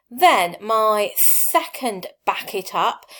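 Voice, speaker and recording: A woman speaks in a Lancashire accent with lively intonation. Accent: Blackpool. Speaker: teacher. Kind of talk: tutorial. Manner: conversational, with filler ums.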